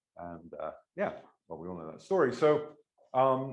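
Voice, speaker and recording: Fairly quick and marked by vocal fry, a man's medium-pitched voice, with an English accent, swings very widely in pitch. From England. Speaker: mathematics professor. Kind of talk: lecture. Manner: hesitant, many filler words.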